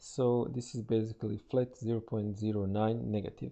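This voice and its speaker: A man with a non-native accent and a dark, mellow tone at fairly low pitch. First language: not English. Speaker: trader and financial market analyst. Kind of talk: tutorial. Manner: halting, with many fillers.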